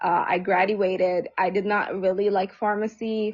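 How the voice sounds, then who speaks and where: Using fairly even intonation and a medium pitch, a woman with an Arabic accent talks at a fairly slow pace. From Egypt. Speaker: social service provider. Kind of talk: casual chat. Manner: halting, many fillers.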